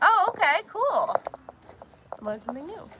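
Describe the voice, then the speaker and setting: A woman with a Pennsylvania accent uses a raised, projected voice. She keeps a moderate pace. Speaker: homesteader streaming farm chores. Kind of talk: live stream chat and Q&A.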